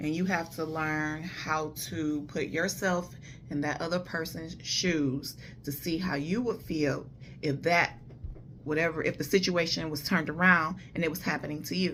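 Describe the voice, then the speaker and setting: Against audible room echo, a woman with a very deep, low voice speaks at a moderate pace with fairly even intonation. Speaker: vlogger giving relationship advice. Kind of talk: casual monologue. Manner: loud.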